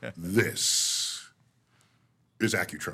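A man does a put-on character voice with a fairly low pitch. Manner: resonant, authoritative announcer voice.

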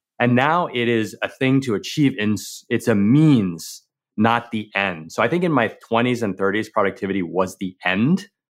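The recording is very clean, with a silent background. A man of medium pitch speaks at a moderate pace with lively intonation. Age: 40s. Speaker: entrepreneur and productivity coach. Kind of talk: interview conversation. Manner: hesitant with repetitions.

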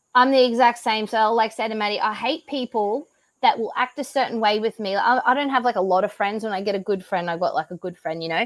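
She talks very fast with an Australian accent. Her pitch is fairly high for a woman, with ordinary variation. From Australia (Brisbane, Queensland). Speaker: CrossFit athlete and business owner. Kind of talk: casual interview chat. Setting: video call from home.

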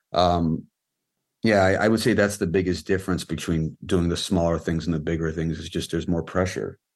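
Speaking with a Californian accent, the voice moves at a fairly quick pace. Intonation stays fairly even over a quiet background. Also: man, very deep, low pitch for a man. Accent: Californian American. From Los Angeles, US. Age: 30s. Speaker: film and music video director. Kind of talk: casual interview. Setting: video call.

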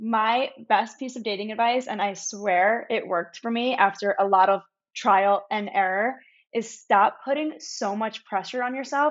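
Here is a normal speaking voice at a moderate pace. Its pitch rises and falls in an ordinary way. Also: woman, fairly high pitch for a woman. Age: 20s. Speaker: social media creator. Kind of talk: casual chat.

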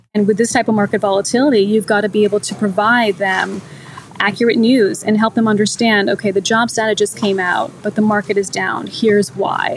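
A woman speaks fairly quickly at a medium pitch with fairly even intonation. Noticeable background noise runs underneath. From US. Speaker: TV business journalist. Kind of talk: interview conversation. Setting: podcast interview.

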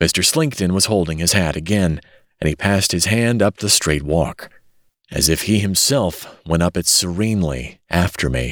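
With a very deep, low pitch and lively intonation, a man speaks at a moderate pace and very even loudness in a very clean recording with a silent background. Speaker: audiobook narrator.

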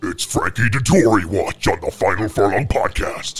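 Raspy and put on as a character voice, a man speaks at a moderate pace and medium pitch with music in the background.

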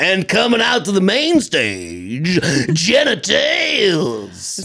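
In a put-on character voice with a middle pitch, the speaker goes at a very slow pace over light background noise. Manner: exaggerated, cartoonish.

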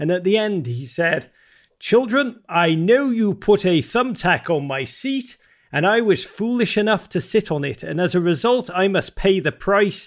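The recording is very clean, with a silent background. A man talks fairly slowly, high-pitched and with lively intonation. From Liverpool, England. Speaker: author. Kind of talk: interview.

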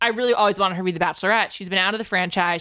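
A woman with a medium pitch speaks in a bright, sharp tone with fairly even intonation. The recording is very clean, its background silent. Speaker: pop culture podcaster. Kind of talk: casual chat.

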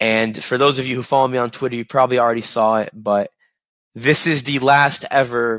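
A man speaks at a medium pitch and a moderate pace, his intonation flat and monotone. The tone is bright and sharp, and the recording is very clean, with a silent background and a dry, close sound with no echo. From Kentucky (Lexington). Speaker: sports podcast host. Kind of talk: casual solo podcast chat. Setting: studio taping.

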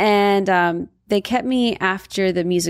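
A woman with a Californian accent and ordinary pitch variation. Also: very clean recording, silent background. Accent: Californian American. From Southern California (Valencia). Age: 30s. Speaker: model and influencer, partner of a singer. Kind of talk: casual interview chat.

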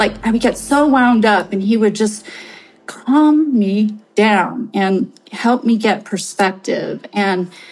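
Somewhat breathy, a woman with an American accent speaks at a fairly high pitch with ordinary pitch variation. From California Bay Area. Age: 50s. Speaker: investment advisor. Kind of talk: personal testimony.

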